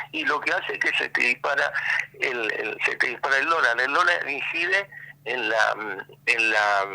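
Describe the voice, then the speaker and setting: Fairly slow male speech against noticeable background noise. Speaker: economist. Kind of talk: radio interview. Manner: halting.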